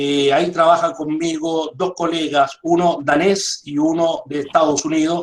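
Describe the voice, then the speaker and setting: A man's fairly high voice at a very slow pace. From Chile. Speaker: dairy industry consultant. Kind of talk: online lecture. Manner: frequent fillers.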